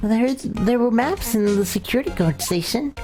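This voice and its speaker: Over faint music in the background, a put-on character voice speaks at a fairly high pitch and a moderate pace. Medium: game stream. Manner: officious, talkative, condescending.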